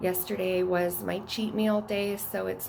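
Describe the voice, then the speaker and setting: A woman talks at a fairly slow pace with a fairly low pitch. Audible room echo surrounds her voice. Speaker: fitness vlogger. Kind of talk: casual vlog narration. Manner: soft-spoken.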